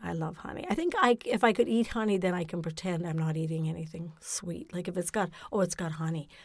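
At a fairly quick pace, a woman with a fairly low pitch speaks over noticeable background noise. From Ontario, Canada (Napanee). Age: 60s. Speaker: guest. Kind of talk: casual chat. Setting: studio.

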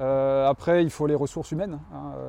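Medium in pitch with a dark, mellow tone, a man speaks with ordinary pitch variation. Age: 40s. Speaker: tennis club president. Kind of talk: interview. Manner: halting, many fillers.

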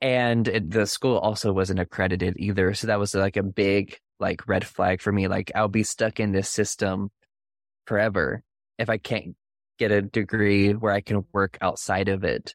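Pitched fairly low, a man speaks in a monotone, flat intonation at a moderate pace with very even loudness. The sound is dry and close with no echo, on a very clean recording with a silent background. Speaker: podcast host. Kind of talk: interview.

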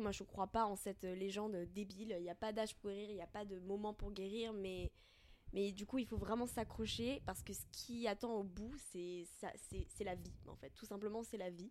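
Delivered at a moderate speed, the speech keeps a fairly even intonation. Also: woman. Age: 20s. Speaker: podcast guest sharing eating disorder recovery. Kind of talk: casual conversation, personal testimony. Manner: halting, many fillers.

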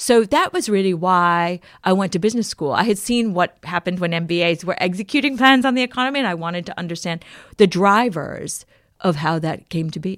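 With an American accent, a woman in a normal speaking voice talks at a medium pitch and a fairly quick pace on a very clean recording with a silent background. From US, Maryland (PG County). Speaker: author and journalist. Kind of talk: interview.

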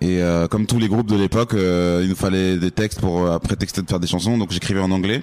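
Speaking at a very fast pace, the man has a very deep, low pitch, fairly even intonation and very even loudness. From France. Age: 30s. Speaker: rapper. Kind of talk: casual interview. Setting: backstage at a release party.

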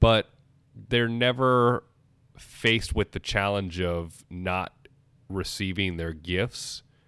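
Very slowly, a man speaks in a fairly low pitch with a bright, sharp tone and ordinary pitch variation. The recording is very clean with a silent background, dry and close with no echo. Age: 20s. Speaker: podcast host. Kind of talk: casual chat.

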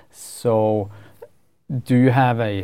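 In a Swedish accent, a man with a medium pitch speaks in a monotone, flat intonation with a dark, mellow tone. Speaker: podcast host. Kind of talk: interview. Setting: studio.

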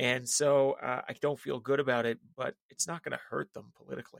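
This is an ordinary speaking voice from a man at medium pitch with fairly even intonation. The sound is dry and close, with no echo. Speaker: political strategist. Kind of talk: casual chat.

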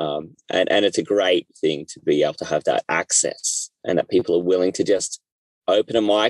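A man talks with an Australian accent. The sound is dry and close, with no echo. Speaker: podcast host. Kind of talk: casual chat. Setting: in a car.

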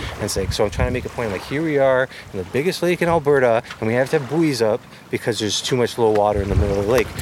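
Over noticeable background noise, a man with a medium pitch talks very fast with lively intonation. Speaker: First Nation government manager. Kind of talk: interview.

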